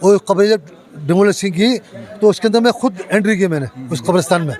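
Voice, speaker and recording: A man's high-pitched voice at a moderate pace, with ordinary pitch variation and crowd noise in the background. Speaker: local resident. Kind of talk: street interview.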